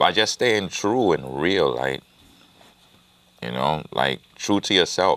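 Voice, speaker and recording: A man's very deep, low voice with vocal fry, very wide pitch swings, a very slow pace, and long, frequent pauses. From Jamaica (born in Brooklyn). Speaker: rapper. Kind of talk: interview.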